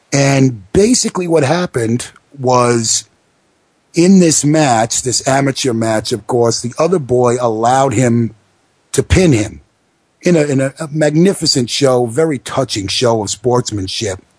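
This man has an American accent and a medium pitch, with ordinary pitch variation. He talks at a fairly slow pace and sounds somewhat breathy. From New York, the Bronx. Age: 30s. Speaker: wrestling radio host. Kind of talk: casual talk radio.

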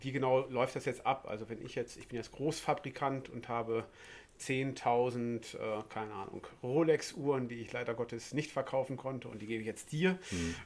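A man with a normal speaking voice, medium pitch, ordinary pitch variation and big swings in loudness. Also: moderate pace. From West Germany. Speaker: podcast host. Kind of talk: interview.

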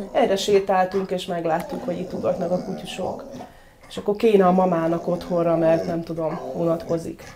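Against noticeable background noise, a woman with a fairly low pitch talks at a moderate pace with fairly even intonation. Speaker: dog trainer. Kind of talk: casual interview.

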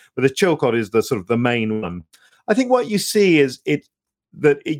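A man talks at a fairly quick pace with a British accent. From UK. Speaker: former diplomat and author. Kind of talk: interview conversation. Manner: halting, many repetitions.

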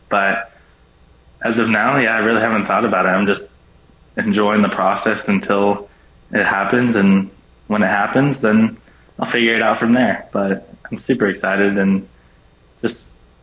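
Long, frequent pauses break up a man's monotone, flat intonation. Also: fairly low pitch for a man, moderate pace. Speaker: college baseball player. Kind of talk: radio interview. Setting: remote call with earbuds.

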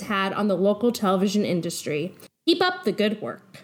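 Lively intonation marks this woman's speech, delivered at a fairly quick pace. She has a plain, everyday voice. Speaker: podcast co-host reading listener mail. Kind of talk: reading aloud.

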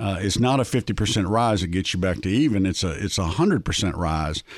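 A man with a Southern accent, fairly low pitch and ordinary pitch variation. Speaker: investment strategist. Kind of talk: interview. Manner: halting.

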